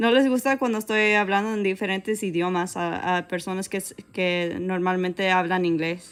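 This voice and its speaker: On a very clean recording with a silent background, a woman in a plain, everyday voice speaks at a fairly quick pace, with medium pitch and ordinary pitch variation. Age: 20s. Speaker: digital artist live streamer. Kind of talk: casual live stream chat while drawing.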